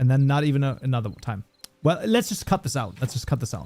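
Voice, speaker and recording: A man speaks with a slight German accent. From Germany. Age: 30s. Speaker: programming livestreamer. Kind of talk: casual livestream chat. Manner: animated.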